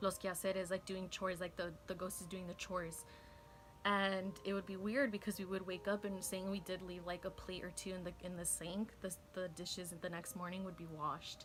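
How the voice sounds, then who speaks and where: Against noticeable background noise, a woman speaks at a medium pitch with monotone, flat intonation. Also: fairly quick pace. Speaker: YouTuber, beauty vlogger. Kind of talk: casual get-ready-with-me story time. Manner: casual, filler-heavy.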